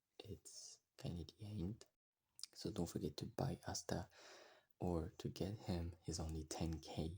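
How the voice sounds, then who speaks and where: The speech comes at a fairly slow pace with a strong French accent. Long, frequent pauses run through it. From France. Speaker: gaming youtuber. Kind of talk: game guide tutorial. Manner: halting, frequent pauses.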